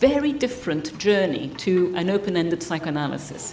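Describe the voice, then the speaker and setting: Noticeable background noise mixes with audible echo from the room. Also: woman. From Italy. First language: Italian. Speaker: psychotherapist trainer. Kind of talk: lecture. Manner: fast.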